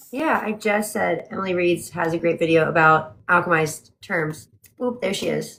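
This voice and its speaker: At a moderate pace, a woman with a fairly low pitch speaks in an unremarkable speaking voice with ordinary pitch variation. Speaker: book club co-host. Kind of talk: casual chat. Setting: livestream from home.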